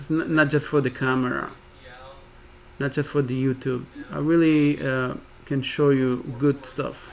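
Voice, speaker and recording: A man speaks at a fairly slow pace with long, frequent pauses. His fairly high voice stays monotone and flat. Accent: non-native. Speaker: day trader streamer. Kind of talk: live trading commentary. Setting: live stream. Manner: halting, with repetitions.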